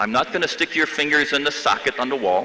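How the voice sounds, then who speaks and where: With an American accent, a man talks in a fairly high pitch over noticeable background noise. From US Midwest, Chicago. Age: 70s. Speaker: professor. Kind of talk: commencement speech.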